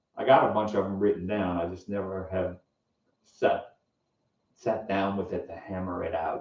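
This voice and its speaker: In a dark, mellow tone, a man with a fairly low pitch speaks at a moderate pace with fairly even intonation. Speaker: musician and software developer streamer. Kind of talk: casual live-stream chat. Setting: home alone, talking to a camera.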